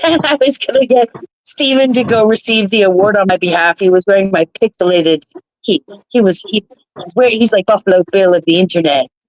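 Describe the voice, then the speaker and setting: Delivered at a fairly quick pace in a plain, everyday voice, the speech has lively intonation and very even loudness, with a dry, close sound with no echo. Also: woman, medium pitch for a woman. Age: 50s. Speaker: livestreamer. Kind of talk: casual chat.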